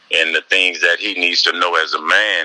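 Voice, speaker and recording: Noticeable background noise accompanies a man speaking at a moderate pace, with a dry, close sound and no echo. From New Orleans, Louisiana. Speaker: rapper. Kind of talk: interview.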